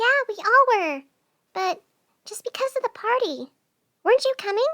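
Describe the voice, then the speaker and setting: A woman puts on a squeaky character voice at an extremely high pitch, with big swings in loudness and a moderate pace. The sound is dry and close, with no echo. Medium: audio drama. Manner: hesitant, soft-spoken.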